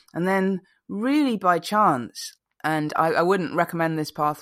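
The woman's pitch varies in an ordinary way, and the recording is very clean with a silent background. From Malaysia. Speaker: performance poet. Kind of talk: poetry performance; interview.

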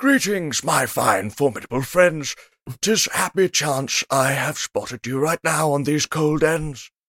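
With a fairly high pitch, a man performs a put-on character voice at a fairly slow pace. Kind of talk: archaic, theatrical. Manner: grand, flowery, fey.

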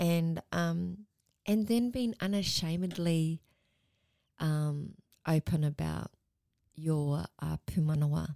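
With an Australian accent, a woman speaks at a very slow pace with long, frequent pauses, a very deep, low pitch, ordinary pitch variation, and a dark, mellow tone, in a dry, close sound with no echo. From Melbourne, Australia. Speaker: Māori community worker. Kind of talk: casual chat.

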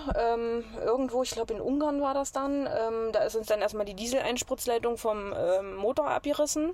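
Moderate pace with hardly any pauses, ordinary pitch variation and noticeable background noise. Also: woman, fairly high pitch for a woman. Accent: Saxony-Anhalt. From Saxony-Anhalt, near Magdeburg. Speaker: traveler living in a camper. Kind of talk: casual interview.

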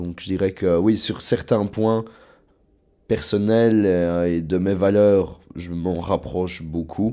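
Recorded very cleanly against a silent background, a man with a very deep, low pitch and a dark, mellow tone speaks at a very slow pace with fairly even intonation. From southern Luxembourg province, Belgium. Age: 20s. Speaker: university student. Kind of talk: personal testimony interview. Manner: hesitant, with fillers and repetitions.

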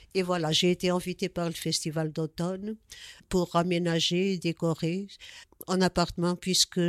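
A woman with a Portuguese accent speaks at a fairly slow pace in a fairly low pitch, her intonation monotone and flat. The recording is very clean with a silent background, and the sound is dry and close with no echo. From Portugal. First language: Portuguese (speaking French). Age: 70s. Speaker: artist. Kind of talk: interview. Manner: halting.

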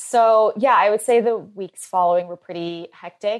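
An ordinary speaking voice from a woman with an American accent comes at a moderate pace with ordinary pitch variation. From US, Philadelphia. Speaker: brand founder. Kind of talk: interview.

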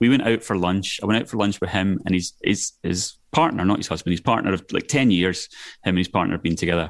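Against a quiet background, a man with a Scottish accent and a very deep, low pitch talks very fast with ordinary pitch variation. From Scotland, Glasgow area. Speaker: filmmaker. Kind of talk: casual interview chat. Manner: animated.

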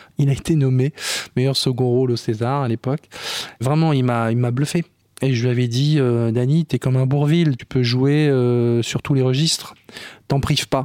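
With fairly even intonation and a dark, mellow tone, a man of medium pitch talks at a moderate pace, the sound dry and close with no echo on a very clean recording with a silent background. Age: 60s. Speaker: film director. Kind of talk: interview.

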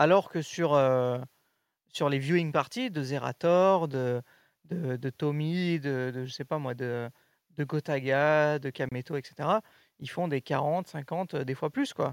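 A man with a fairly high voice and ordinary pitch variation speaks very slowly, the sound dry and close with no echo on a very clean recording with a silent background. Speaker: esports show co-host. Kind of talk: casual chat.

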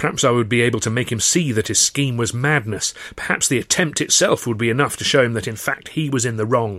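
This is a natural reading voice. It is all there is to note.

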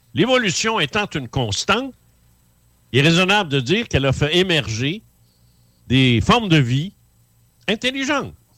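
A man in a Quebec accent, with very wide pitch swings, vocal fry, and long, frequent pauses. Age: 70s. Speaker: author and former UFO investigator. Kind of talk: radio interview.

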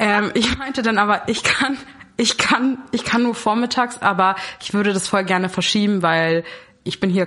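A woman speaks at a moderate pace with ordinary pitch variation, noticeable background noise behind her. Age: 20s. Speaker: student. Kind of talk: casual chat.

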